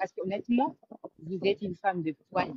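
In a dry sound with no echo, a woman speaks with lively intonation and a somewhat breathy voice. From Congolese, raised in Europe. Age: young. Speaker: caller. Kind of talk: call-in opinion. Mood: animated, admiring. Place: home room. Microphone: video call.

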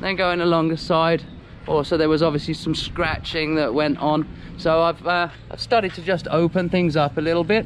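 Light background noise accompanies a man speaking at a fairly quick pace. His intonation stays fairly even. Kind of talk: casual vlog chat. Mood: frustrated about trailer. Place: garage. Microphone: phone near.

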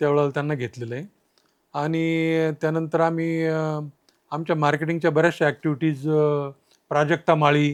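A man's fairly high pitch and monotone, flat intonation on a very clean recording with a silent background. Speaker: agri-business founder. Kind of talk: interview.

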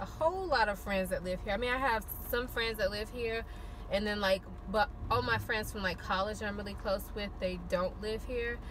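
A woman at a moderate pace with ordinary pitch variation, a dry sound with no echo, and light background noise. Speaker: vlogger. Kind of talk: casual vlog chat. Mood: happy, relaxed. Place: car. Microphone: phone near.

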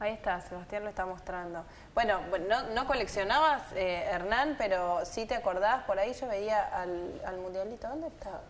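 Over light background noise, a woman with a normal speaking voice talks at a moderate pace, her medium pitch showing ordinary variation. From Argentina. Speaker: radio host. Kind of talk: casual chat. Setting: studio. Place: studio. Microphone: lapel.

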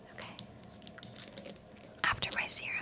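A woman whispering at a moderate pace. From Canada. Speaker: content creator, recruiter. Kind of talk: ASMR-style whispered ramble to camera, bedtime skincare routine. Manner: soft, chatty, friendly. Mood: calm, slightly reflective. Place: home room. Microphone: studio mic.

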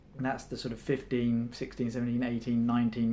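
A man with a calm tone. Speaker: meditation enthusiast. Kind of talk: guided meditation. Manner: calm, instructive, conversational. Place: home room.

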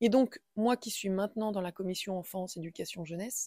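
A woman's voice has a dark, mellow tone and ordinary pitch variation. The sound is dry and close with no echo. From central France, Indre-et-Loire. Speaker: schoolteacher and local councillor. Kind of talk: interview. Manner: halting, many hesitations.

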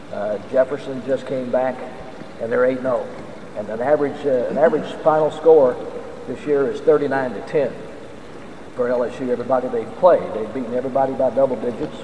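Audible room echo and light background noise surround a man with an American accent who talks at a fairly quick pace with long, frequent pauses. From American Deep South. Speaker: radio play-by-play announcer for college football. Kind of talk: speech to a club audience about the football team. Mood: upbeat, proud of team. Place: hall. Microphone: podium.

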